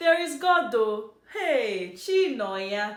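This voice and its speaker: Her pitch swinging very widely, a woman talks over noticeable background noise. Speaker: dialect teacher. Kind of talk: casual language lesson to camera. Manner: playful, dramatic.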